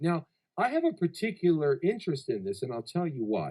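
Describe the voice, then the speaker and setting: This man has an American accent. He speaks at a moderate pace. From Chicago, US Midwest. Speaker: talk show host. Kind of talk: casual interview. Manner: animated.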